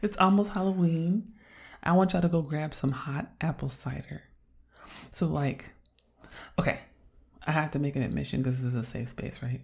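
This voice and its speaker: Speaking at a moderate pace with long, frequent pauses, a woman with an American accent has a very deep, low, somewhat breathy voice and lively intonation. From California. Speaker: podcast co-host. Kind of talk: casual chat. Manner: mellow.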